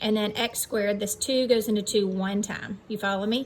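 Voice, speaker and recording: Noticeable background noise sits under the voice. The intonation stays fairly even. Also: woman. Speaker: math teacher. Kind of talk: lecture. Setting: outdoors.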